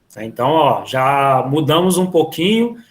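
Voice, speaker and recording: Using a normal speaking voice, a man speaks fairly slowly at a fairly high pitch with ordinary pitch variation. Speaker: physical education teacher. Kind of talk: online class lecture. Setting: video call.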